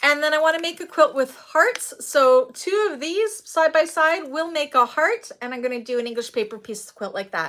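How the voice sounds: Speaking at a moderate pace, a woman has a high pitch and a fairly bright tone.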